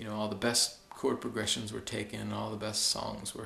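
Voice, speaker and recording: Soft-spoken and fairly low-pitched, a man with an American accent talks at a fairly quick pace. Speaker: fitness video blogger. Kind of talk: video blog monologue. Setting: basement at home at night. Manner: halting.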